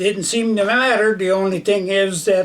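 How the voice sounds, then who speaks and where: Amid noticeable background noise, a man with an American accent speaks in a high, monotone, flat voice. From northwestern Minnesota. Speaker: war veteran. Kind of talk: oral history interview. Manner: halting, many fillers.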